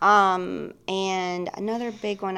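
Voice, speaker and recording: A woman speaks with a Mississippi accent. The recording is very clean, with a silent background. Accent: Southern US (Mississippi). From Mississippi, US South. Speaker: licensed professional counselor. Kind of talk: casual interview chat. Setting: studio podcast.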